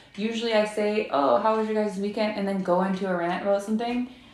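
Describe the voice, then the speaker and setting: A woman with a fairly high voice talks over noticeable background noise, with audible room echo. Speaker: live streamer. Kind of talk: casual chat.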